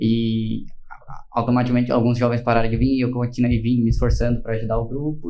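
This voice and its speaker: There is audible room echo around a man's voice, which has a dark, mellow tone. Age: 20s. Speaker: podcast co-host. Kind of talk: casual chat.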